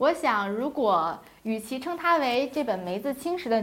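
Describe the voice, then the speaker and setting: A woman talks at a moderate speed, her intonation lively. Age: 20s. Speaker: podcast host. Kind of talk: book review chat. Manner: chatty.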